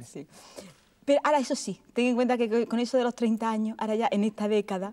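A woman's dark, mellow voice at a very fast pace with fairly even intonation. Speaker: TV presenter and card reader. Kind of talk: TV interview questions. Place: studio.

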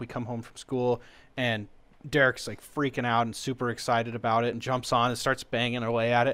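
A man talks at a fairly quick pace. His medium-pitched voice is monotone and flat. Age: young. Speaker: podcast co-host and guitarist. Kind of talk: casual chat. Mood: amused, storytelling. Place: home room.

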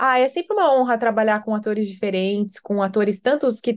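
A woman at a moderate pace. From Brazil. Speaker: actress. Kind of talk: interview. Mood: warm, reflective. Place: home room. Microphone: video call.

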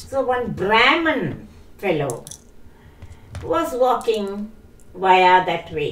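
The delivery is very slow, with long, frequent pauses and very wide pitch swings. Room echo is audible. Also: woman. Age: 80s+. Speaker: storytelling grandmother; grandmother storyteller. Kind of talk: storytelling. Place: home room. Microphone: poor audio, wrong mic settings.

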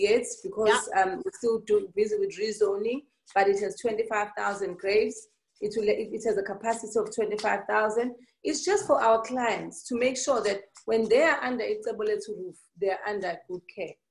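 A woman speaks at a moderate pace with a Zulu accent. Her pitch varies in an ordinary way over a quiet background. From South Africa, KwaZulu-Natal. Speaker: entrepreneur. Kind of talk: interview. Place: office. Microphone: video call.

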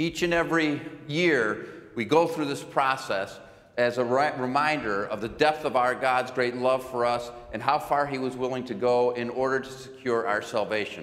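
A man at a moderate pace, with ordinary pitch variation. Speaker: pastor. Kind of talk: church announcements. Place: church.

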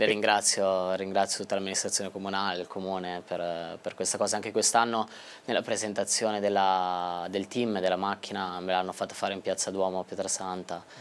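Fairly quick speech from a man with a Tuscan accent, fairly low pitch, and monotone, flat intonation. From Tuscany. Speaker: racing driver; guest. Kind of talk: interview. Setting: studio. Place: studio. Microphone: lapel.

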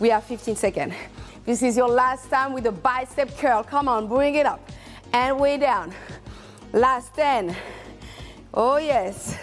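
Faint music plays in the background while the voice moves at a fairly slow pace with ordinary pitch variation. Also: woman. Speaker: fitness instructor. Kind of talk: workout coaching. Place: studio.

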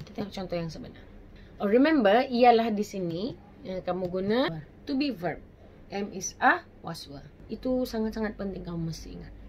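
A woman talks at a moderate pace with lively intonation and big swings in loudness. Light background noise can be heard. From Malaysia. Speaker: English teacher. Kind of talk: tutorial. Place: home room.

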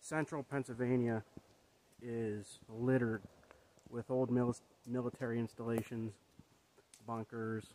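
Speaking fairly slowly in a flat monotone, a man leaves long, frequent pauses, the sound dry with no echo and light background noise behind him. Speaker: vlogger. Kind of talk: casual vlog chat. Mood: reflective, thoughtful. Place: forest. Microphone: phone near.

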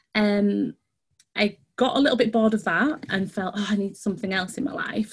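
A woman's voice comes across as somewhat breathy. She keeps a moderate pace with ordinary pitch variation. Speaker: dance outreach manager. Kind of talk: online workshop presentation. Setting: video call. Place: home room. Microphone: video call.

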